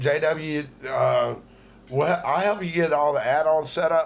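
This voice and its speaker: A man with a plain, everyday voice talks at a fairly slow pace and a fairly high pitch. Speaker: livestream host. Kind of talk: casual chat.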